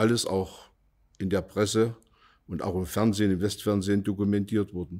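A man speaks at a fairly low pitch in a monotone, flat intonation. The background is quiet. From Saxony, Vogtland (Plauen), former East Germany; Saxony, Germany. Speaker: contemporary witness, former industry manager; witness. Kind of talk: oral history interview. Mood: calm, reflective. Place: studio.

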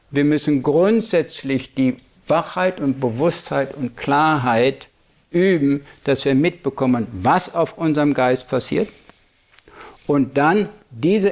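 This man talks at a very slow pace in a fairly high voice, with ordinary pitch variation. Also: very even loudness. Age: 70s. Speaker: Buddhist meditation teacher. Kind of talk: dharma talk.

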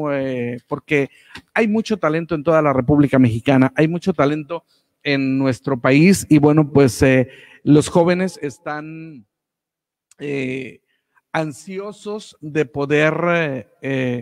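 At a very slow pace, a man speaks with a fairly high pitch and ordinary pitch variation over a quiet background. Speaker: radio announcer. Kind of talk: live online radio show hosting. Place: studio. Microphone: studio mic.

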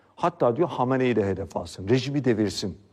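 A man's voice with vocal fry at a fairly quick pace. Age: 40s. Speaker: political commentator. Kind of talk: political commentary monologue.

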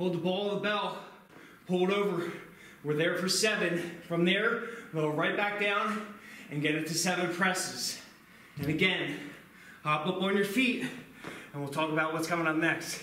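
In a room with audible echo and light background noise, a man speaks at a moderate pace with a high pitch, ordinary pitch variation and long, frequent pauses. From Philadelphia, US. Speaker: kettlebell fitness instructor. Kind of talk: live follow-along workout coaching with timed countdown cues. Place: gym.

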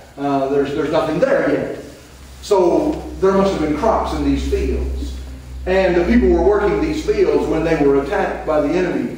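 A man talks at a moderate pace. There is strong room echo and light background noise. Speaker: missionary preacher, retired army veteran. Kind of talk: sermon. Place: church.

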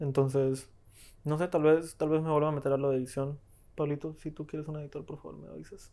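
At a very fast pace, a man talks with a dark, mellow tone, a fairly high pitch and a monotone, flat intonation. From Colombia. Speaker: film editor, film school graduate; podcast guest. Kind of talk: casual chat. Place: home room. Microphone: lapel.

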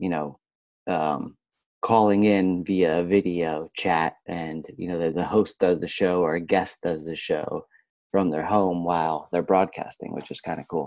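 In a dry, echo-free recording with a quiet background, a man with a very deep, low voice speaks fairly slowly with fairly even intonation. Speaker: podcast guest. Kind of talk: interview answer. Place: home room. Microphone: earbuds.

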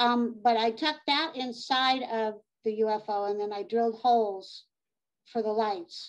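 A woman's voice, fairly high in pitch. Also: quiet background. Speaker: model railroad hobbyist presenter. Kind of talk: hobby presentation. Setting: video call. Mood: relaxed, chatty. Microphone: video call.

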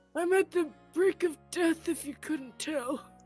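Faint music plays behind a woman doing a put-on character voice at a fairly slow pace.

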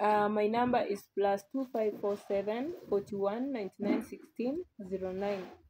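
Over light background noise, the voice has a dark, mellow tone, ordinary pitch variation and a moderate pace. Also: woman, fairly high pitch for a woman. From Kenya. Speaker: vlogger. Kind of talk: casual vlog narration. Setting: outdoors at rural home. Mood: proud, upbeat. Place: open country. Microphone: phone near.

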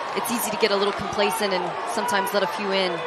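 A woman at a medium pitch and a very fast pace, amid noticeable background noise. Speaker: color commentator. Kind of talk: live sports commentary.

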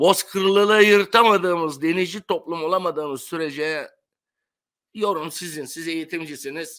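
A man talks at a moderate pace with a high pitch and ordinary pitch variation, his tone bright and sharp. His loudness swings widely against a quiet background. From Turkey, Aegean coast (Bodrum); Turkey. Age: 70s. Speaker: retired sponge diver; interview guest. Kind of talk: interview. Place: home room.

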